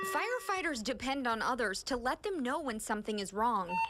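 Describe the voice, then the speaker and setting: With music in the background, the speaker moves at a fairly quick pace through very wide pitch swings. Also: woman, high pitch for a woman. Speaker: television news reporter. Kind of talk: broadcast news reporter delivery.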